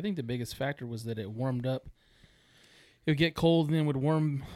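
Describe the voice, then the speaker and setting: A plain, everyday voice of a man with an American accent, medium in pitch, fairly quick, with ordinary pitch variation. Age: 40s. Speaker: taxidermist, duck hunter. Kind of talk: casual chat.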